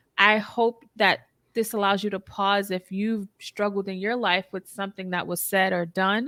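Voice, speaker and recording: A woman speaks at a moderate pace and a medium pitch with a bright, sharp tone. Her intonation is monotone and flat, and the sound is dry and close with no echo. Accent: Boston. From US, Boston (Roxbury). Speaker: therapist, podcast host. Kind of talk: interview conversation.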